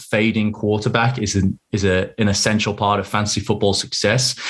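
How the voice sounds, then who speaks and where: Somewhat breathy and fairly low, a man's voice moves at a fairly quick pace with monotone, flat intonation. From northwest England (Southport). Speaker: fantasy football league organiser and podcaster. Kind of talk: casual chat. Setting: remote call.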